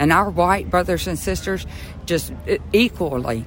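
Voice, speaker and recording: A speaker talks at a moderate pace in a Southern US accent. Music plays in the background. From rural southeast Georgia. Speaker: activist supporter. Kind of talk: interview.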